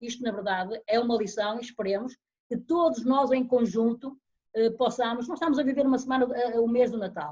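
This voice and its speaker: Fairly quick and high-pitched, a woman talks in a dark, mellow tone with ordinary pitch variation. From Portugal, Guimarães. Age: 60s. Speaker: retired long-distance runner. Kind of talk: interview.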